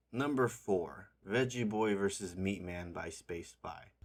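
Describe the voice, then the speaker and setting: With music in the background, a man speaks at a fairly low pitch. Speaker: indie game developer. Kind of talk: casual video commentary ranking games.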